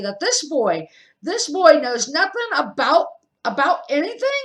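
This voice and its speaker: A put-on character voice growls at a high pitch with very wide pitch swings. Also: moderate pace. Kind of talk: booming, intimidating. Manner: growling, angry, incredulous.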